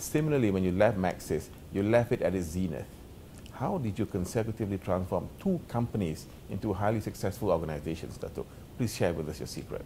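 At a fairly quick pace, a man talks in a fairly low pitch with a dark, mellow tone and ordinary pitch variation. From Malaysia. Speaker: interview host. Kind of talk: interview. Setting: studio. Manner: formal.

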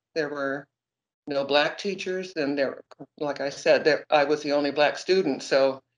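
Against a quiet background, a woman with an American accent speaks at a moderate pace with ordinary pitch variation. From Seattle, Washington. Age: 60s. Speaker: retired teacher. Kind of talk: interview answer. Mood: reflective, earnest. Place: kitchen. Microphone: phone near.

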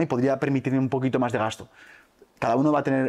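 Speaking very fast, a man keeps to a medium pitch. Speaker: entrepreneur and youtuber. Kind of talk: interview.

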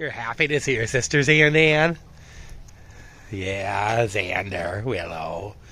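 At a very slow pace with long, frequent pauses, a man with a medium pitch speaks using lively intonation. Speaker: vlogger, dog owner. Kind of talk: casual monologue to dogs. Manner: self-talk, rambling.

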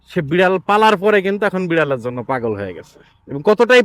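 With lively intonation, a man speaks in a dry, close recording with no echo. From Bangladesh, Khulna. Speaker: cat-keeping vlogger. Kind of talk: casual vlog monologue. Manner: animated.

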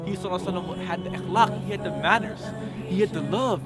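A man talks at a very fast pace. Clear music plays behind the dry sound, which has no echo. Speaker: reaction vlogger. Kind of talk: casual reaction talk to camera. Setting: outdoors. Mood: moved, enthusiastic praise. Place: open country.

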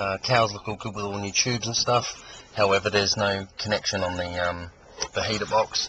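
A man's fairly low, fairly even voice at a fairly quick pace, in a dry sound with no echo and with noticeable background noise. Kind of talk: casual walkaround commentary. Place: street.

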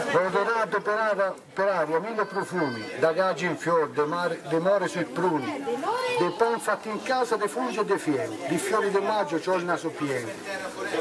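A man speaks in a Tuscan accent at a high pitch with lively intonation. His pace is moderate, and crowd noise fills the background. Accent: Garfagnana dialect. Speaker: dialect poet. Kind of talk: poetry reading. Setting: outdoors. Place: street. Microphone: handheld.

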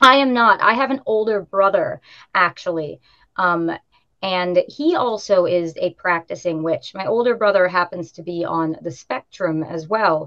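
A woman with a normal speaking voice talks at a fairly slow pace and medium pitch, with ordinary pitch variation over a quiet background. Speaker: witch, tour guide and tarot reader; tour guide, tarot reader. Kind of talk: casual interview. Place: home room. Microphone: video call.

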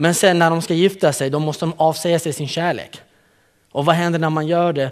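The speaker talks at a moderate pace against a quiet background. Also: man. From Kurdistan, northern Iraq; raised in Malmö, Sweden from age 12. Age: 30s. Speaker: youth program leader. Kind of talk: conference talk. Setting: stage with audience. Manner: animated, joking. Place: hall.

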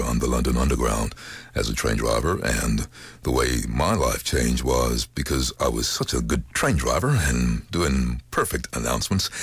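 A man's very deep, low voice with ordinary pitch variation, at a moderate pace and very even loudness, in a dry sound with no echo against a quiet background. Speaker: voice actor. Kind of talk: interview answer. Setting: studio. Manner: casual, upbeat. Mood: relaxed, storytelling. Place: studio. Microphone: studio mic.

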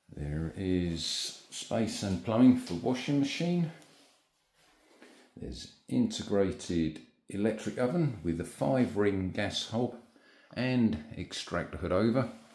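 A man at a very slow pace and fairly low pitch, with audible room echo. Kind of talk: property tour narration. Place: home room. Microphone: phone near.

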